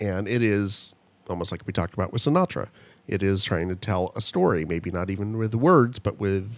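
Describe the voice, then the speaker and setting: A normal speaking voice at a moderate pace. The pitch variation is ordinary. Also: man. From Italian-American. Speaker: podcast co-host. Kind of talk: casual chat.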